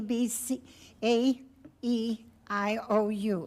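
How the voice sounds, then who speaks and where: A woman's fairly high-pitched voice on a very clean recording with a silent background. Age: 80s+. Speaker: public commenter, retired teacher. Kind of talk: public comment at school board meeting. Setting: school board meeting.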